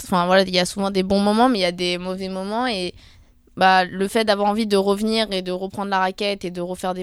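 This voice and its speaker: Over a silent background in a very clean recording, a woman speaks at a moderate pace in a medium-pitched, flat, monotone voice. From Paris area, Seine-Saint-Denis. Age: young. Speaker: professional table tennis player. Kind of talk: casual interview.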